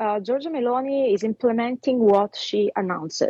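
A woman with an Italian accent at a moderate pace and ordinary pitch variation, in a dry, close sound with no echo. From Italy. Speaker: fashion designer and commentator. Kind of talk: interview.

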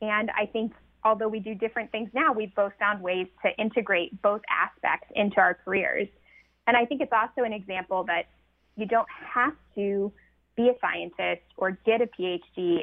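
With an American accent, a woman speaks in a plain, everyday voice at a moderate pace, her pitch fairly high with ordinary variation. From rural North Carolina. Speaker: nature photographer and social scientist, author. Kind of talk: radio interview.

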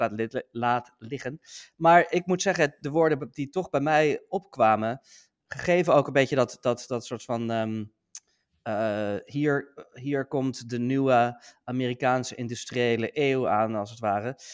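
A man with a medium-pitched voice speaks at a fairly slow pace with ordinary pitch variation. The sound is dry and close with no echo, over a quiet background. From Netherlands. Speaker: podcast co-host, US politics commentator. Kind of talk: casual political discussion. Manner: halting, many fillers.

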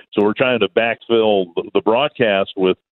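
A man's fairly low voice, an ordinary speaking voice with an American accent and ordinary pitch variation. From Minnesota. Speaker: baseball play-by-play announcer. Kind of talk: radio interview.

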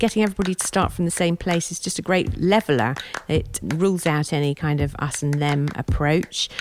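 Speaking at a fairly quick pace in a plain, everyday voice, a woman keeps a fairly low pitch with ordinary pitch variation. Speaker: gardening project leader. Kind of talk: documentary interview explaining.

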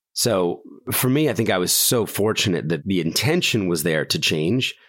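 A man with a very deep, low voice and an American accent, his pitch swinging very widely at a moderate pace, on a very clean recording with a silent background. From US Northeast. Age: 40s. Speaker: nonprofit founder. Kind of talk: interview.

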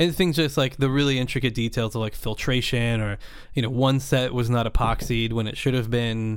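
A man with an American accent and a plain, everyday voice, medium in pitch, fairly quick in pace, with fairly even intonation. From US West Coast, Napa Valley, California. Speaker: underwater cinematographer. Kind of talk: casual chat.

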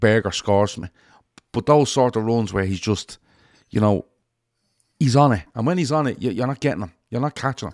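A medium-pitched man's voice in a Liverpool accent, fairly quick in pace yet broken by long, frequent pauses, with a dry, close sound with no echo on a very clean recording with a silent background. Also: lively intonation. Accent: Liverpool Scouse. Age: 40s. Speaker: football fan podcast host. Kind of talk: casual chat.

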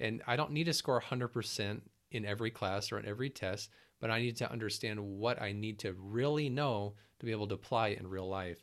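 Recorded very cleanly with a silent background, a man with an unremarkable speaking voice talks fairly quickly at a fairly low pitch with ordinary pitch variation. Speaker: ER nurse and business founder. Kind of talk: casual interview.

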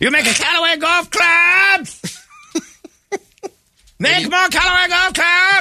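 A man shouting in a put-on character voice, extremely high in pitch, fairly slow, with long, frequent pauses. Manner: yelling.

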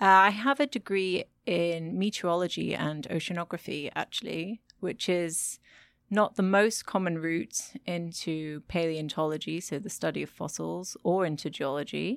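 On a very clean recording with a silent background, a woman with a British accent speaks at a moderate pace in a fairly low voice with ordinary pitch variation. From Britain. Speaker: micropaleontologist. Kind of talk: interview. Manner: animated.

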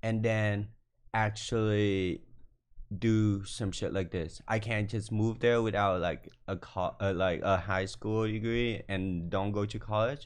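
Against a quiet background, a man with a Vietnamese accent speaks at a very slow pace, with a fairly low pitch and fairly even intonation. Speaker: fashion designer. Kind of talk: casual chat. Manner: confident.

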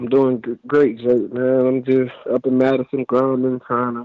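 A man talks at a medium pitch. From Florida, Fort Lauderdale. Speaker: former college football player. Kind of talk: casual interview. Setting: phone call.

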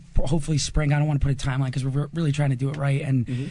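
A man with an American accent speaks in a fairly high pitch, his dark, mellow tone somewhat breathy and his intonation flat and monotone. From New Jersey. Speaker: band singer. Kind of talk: casual interview. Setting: live music venue.

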